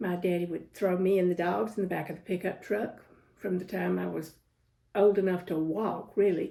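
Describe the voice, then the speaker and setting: A woman's dark, mellow voice with vocal fry, a Southern US accent and fairly even intonation. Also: medium pitch for a woman, moderate pace. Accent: Southern US (Georgia). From US South, Georgia (Jenkinsburg). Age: 70s. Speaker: interviewee recalling her life. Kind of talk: oral history interview.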